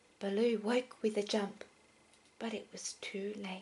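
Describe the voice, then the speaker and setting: This soft-spoken voice has a gentle tone. The pace is very slow. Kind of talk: gentle bedtime storybook reading. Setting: indoors at night with a heater whirring and a toddler in the background. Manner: soft-spoken, gentle, relaxing.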